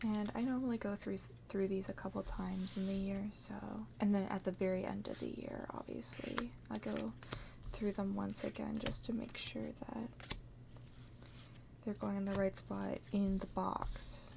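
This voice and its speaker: At a moderate pace, the speech breaks often into long pauses over noticeable background noise. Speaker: ASMR creator. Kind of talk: ASMR tutorial-style chat while organizing cards. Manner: soft-spoken.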